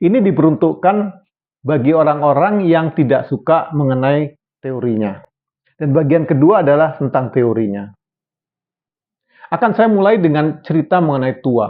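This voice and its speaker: A man's fairly high voice at a moderate pace, lively in intonation and very even in loudness, with long, frequent pauses. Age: 60s. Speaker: health video presenter. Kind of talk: educational talk. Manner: casual, conversational.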